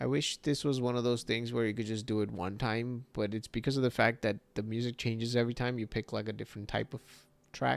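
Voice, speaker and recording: Quiet and fairly quick, a man speaks at a medium pitch with fairly even intonation. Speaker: 3D artist streamer. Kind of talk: livestream tutorial chat. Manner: quiet late at night.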